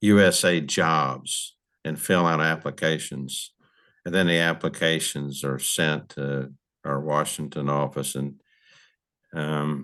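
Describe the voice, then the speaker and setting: A man speaks at a very slow pace with a very deep, low pitch. His intonation is fairly even. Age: 70s. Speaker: retired park service official, advocate. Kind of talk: podcast interview.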